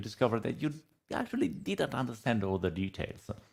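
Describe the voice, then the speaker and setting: With an Italian accent, a man at a medium pitch speaks with very wide pitch swings and vocal fry. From Italy. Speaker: data analytics consultant and trainer. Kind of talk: podcast interview. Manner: hesitant, many fillers.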